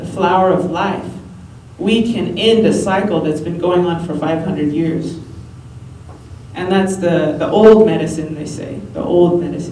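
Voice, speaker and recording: A woman with a fairly low pitch and ordinary pitch variation is heard over noticeable background noise. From New Mexico. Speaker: spoken word poet. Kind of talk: speech to a live audience. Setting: live event, no microphone.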